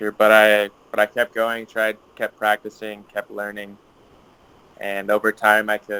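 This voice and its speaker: With an American accent, a man speaks at a fairly slow pace in a bright, sharp tone, his loudness swinging widely. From US, Utah. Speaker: guest speaker for English class. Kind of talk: informal talk to students. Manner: halting, many fillers.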